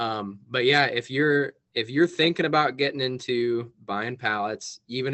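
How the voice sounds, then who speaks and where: A plain, everyday voice from a man at medium pitch, with ordinary pitch variation and a moderate pace. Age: 20s. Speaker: business owner. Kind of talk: casual chat. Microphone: connection dropped out.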